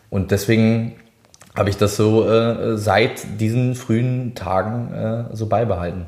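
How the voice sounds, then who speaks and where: A man's fairly slow, medium-pitched speech with fairly even intonation amid noticeable background noise. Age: 20s. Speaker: singer. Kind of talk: casual chat.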